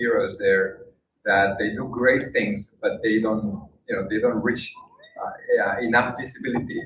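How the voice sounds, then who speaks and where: A man speaks with a Spanish accent and fairly even intonation. Audible room echo surrounds his voice. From Spain. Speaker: documentary filmmaker and UN worker. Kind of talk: speech to an audience. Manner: halting, many fillers.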